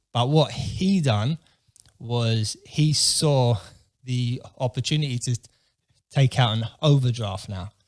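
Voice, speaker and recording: A man's somewhat breathy, medium-pitched voice at a very slow pace, with ordinary pitch variation and long, frequent pauses. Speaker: entrepreneur. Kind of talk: casual chat. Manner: halting.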